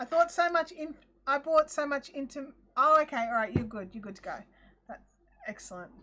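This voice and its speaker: With a strong Australian accent, a woman projects a raised, high voice with a bright, sharp tone and lively intonation. She talks at a fairly quick pace with long, frequent pauses and big swings in loudness. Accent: broad Australian. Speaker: crafting livestream host. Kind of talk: casual livestream chat. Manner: animated.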